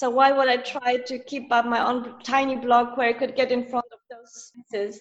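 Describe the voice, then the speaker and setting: In a Polish accent, the speaker holds a moderate pace with monotone, flat intonation and big swings in loudness. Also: woman, high pitch for a woman. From Poland. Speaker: freelance writer and journalist. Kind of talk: interview.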